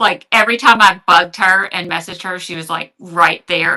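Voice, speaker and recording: A woman with a Louisiana accent talks at a moderate pace. Her pitch is fairly low, with ordinary pitch variation. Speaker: online reseller. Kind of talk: live selling stream. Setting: livestream. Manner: hesitant, many fillers.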